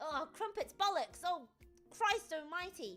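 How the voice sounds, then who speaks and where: Using a put-on character voice in a London accent, a woman speaks at an extremely high pitch with lively intonation and a fairly slow pace while faint music plays in the background. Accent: British, London. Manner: exaggerated, comedic.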